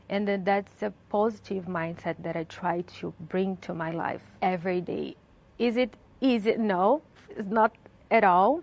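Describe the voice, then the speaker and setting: In a Brazilian Portuguese accent, a woman speaks at a fairly slow pace. Her medium pitch shows ordinary variation. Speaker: journalist. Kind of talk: interview. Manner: hesitant, with fillers.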